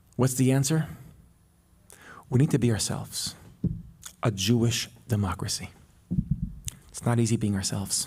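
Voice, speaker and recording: This man speaks at a moderate pace in a medium pitch, somewhat breathy, with ordinary pitch variation and long, frequent pauses. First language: Hebrew. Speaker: public intellectual and podcast co-host. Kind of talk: public talk with Q&A.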